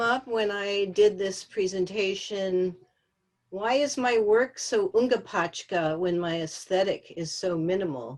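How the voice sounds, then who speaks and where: A woman with an American accent talks at a fairly slow pace in a plain, everyday voice. Her pitch is medium and her intonation lively. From Los Angeles. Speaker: textile artist. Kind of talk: artist presentation. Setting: video call.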